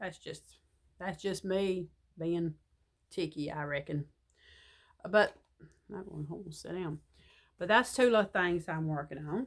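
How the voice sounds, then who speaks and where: The voice belongs to a woman. She speaks with an American accent. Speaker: crochet vlogger. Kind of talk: casual chat.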